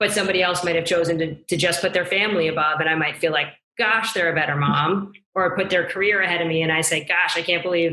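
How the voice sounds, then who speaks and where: A woman's fairly low voice, monotone and flat, at a very fast pace. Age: 40s. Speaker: business executive. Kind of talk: interview.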